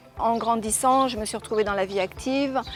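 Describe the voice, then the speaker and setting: A woman's fairly high voice at a moderate pace, with ordinary pitch variation and music in the background. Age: 60s. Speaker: former airline pilot, yoga teacher and author. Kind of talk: testimony. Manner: hesitant, many fillers.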